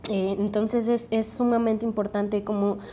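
A woman with a normal speaking voice talks at a moderate pace, using a medium pitch and fairly even intonation. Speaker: podcast host. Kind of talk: interview.

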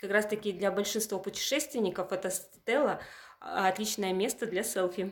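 With an ordinary speaking voice, a woman speaks at a moderate pace, medium pitch and fairly even intonation. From Yamal, Russian Far North (Purovsky district). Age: 30s. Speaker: museum curator. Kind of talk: interview.

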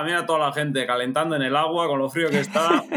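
The speaker has a Basque accent and talks at a very fast pace with ordinary pitch variation. The recording is very clean, with a silent background. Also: man. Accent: noticeable Basque Spanish. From Basque Country, Spain (Bergara, Gipuzkoa). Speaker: amateur triathlete. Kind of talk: casual chat.

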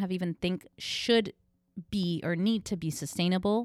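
At a medium pitch with ordinary pitch variation, a woman speaks in an unremarkable speaking voice, captured in a very clean recording with a silent background and a dry, close sound with no echo. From New York, Cuban-American family. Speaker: sustainable store owner. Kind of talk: casual chat. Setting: in her shop.

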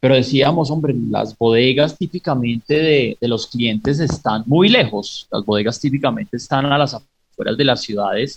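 A somewhat breathy man speaks at a moderate pace. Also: medium pitch for a man, ordinary pitch variation, hardly any pauses, dry, close sound with no echo. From Pereira, Colombia and raised in the US. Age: 30s. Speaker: startup founder and investor. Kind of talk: radio interview. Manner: halting, many repetitions.

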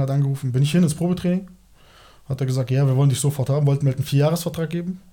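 A man's fairly high, dark and mellow voice, somewhat breathy, at a very fast pace with ordinary pitch variation. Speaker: former professional footballer. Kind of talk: casual chat.

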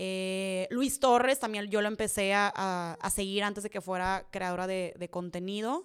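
With hardly any pauses, a woman speaks at a fairly slow pace in an animated tone on a very clean recording with a silent background. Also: medium pitch for a woman. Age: 20s. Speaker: content creator. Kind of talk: casual Q&A monologue.

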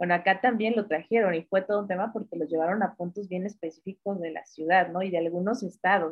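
Very fast and at medium pitch, a woman speaks with fairly even intonation. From Mexico, northern Veracruz. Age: 30s. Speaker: feminist activist, communications graduate. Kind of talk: interview. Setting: remote call.

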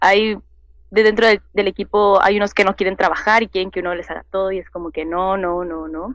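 In a normal speaking voice, a woman of medium pitch talks at a fairly quick pace with fairly even intonation and big swings in loudness. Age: 20s. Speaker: cosplayer and youtuber. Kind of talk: casual interview.

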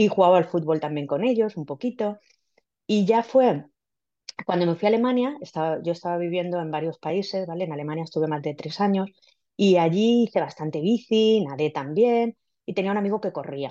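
A woman speaks in a fairly low voice with a dark, mellow tone. Her intonation is lively. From Spain, Villena (Alicante). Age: 50s. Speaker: scientist and amateur runner. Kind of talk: casual interview. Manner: halting, many repetitions and fillers.

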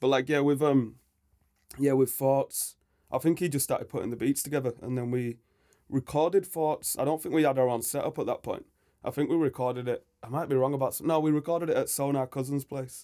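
In a Yorkshire accent, a man with a fairly high pitch talks at a fairly quick pace with fairly even intonation. His tone is dark and mellow, and the recording is very clean with a silent background. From Leeds, northern England. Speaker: hip-hop MC. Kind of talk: casual interview chat. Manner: laid-back, hesitant with fillers.

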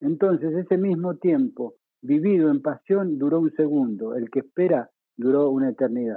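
A man with an ordinary speaking voice, fairly high-pitched, with lively intonation at a moderate pace. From Mendoza, Argentina. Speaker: former radio broadcaster. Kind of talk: interview.

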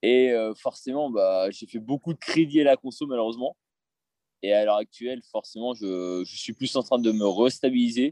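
A man speaks at a moderate pace in a dark, mellow tone with ordinary pitch variation. The sound is dry and close with no echo, against a quiet background. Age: 20s. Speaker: aspiring property investor, salesman. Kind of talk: interview. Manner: hesitant.

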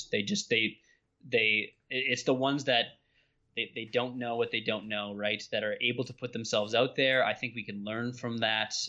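With an Ontario accent, a man talks at a moderate pace. His pitch is medium and his intonation fairly even. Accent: Canadian (Ontario). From southwestern Ontario, Canada. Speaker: nutrition scientist and strength coach. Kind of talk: podcast interview.

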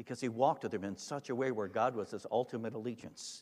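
A man speaks with an American accent at a fairly quick pace. The recording is very clean, with a silent background. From Michigan, US Midwest. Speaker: pastor. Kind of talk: sermon.

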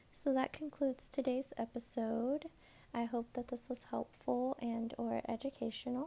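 A woman speaks at a moderate pace with a high pitch, a dark, mellow tone and monotone, flat intonation. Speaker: podcast host and hospice social worker. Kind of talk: casual interview.

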